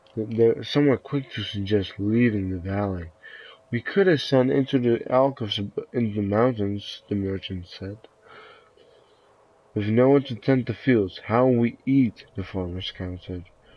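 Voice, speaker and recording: A man with a dark, mellow tone speaks at a moderate pace with ordinary pitch variation. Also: medium pitch for a man. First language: not English. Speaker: video game streamer. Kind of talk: reading game text aloud with commentary. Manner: halting, stumbling over words.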